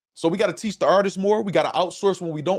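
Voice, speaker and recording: A man speaks in an animated tone. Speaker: battle rap commentator / live streamer. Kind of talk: live stream commentary reacting to chat. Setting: live stream. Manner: fast; animated, casual.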